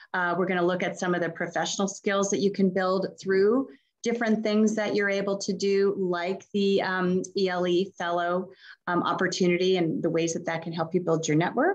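A woman's monotone, flat intonation over a quiet background. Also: moderate pace. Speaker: panel moderator. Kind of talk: virtual panel discussion. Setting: video call. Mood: warm, smiling, upbeat. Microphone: video call.

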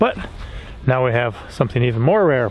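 A man speaks at a fairly quick pace with ordinary pitch variation. Faint background noise sits behind him.

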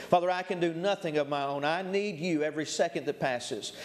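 This man has a high pitch and fairly even intonation, moving at a fairly quick pace. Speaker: preacher. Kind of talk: sermon. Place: church.

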